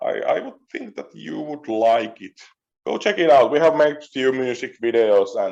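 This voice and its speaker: A man with a Finnish accent, his loudness swinging widely. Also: moderate pace. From Finland. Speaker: metal musician. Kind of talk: interview. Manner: halting.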